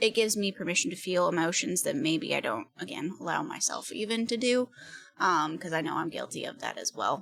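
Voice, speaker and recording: A soft-spoken woman talks at a fairly quick pace. Her pitch makes very wide swings. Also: medium pitch for a woman. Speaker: multi-disciplinary artist and actor. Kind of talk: casual interview.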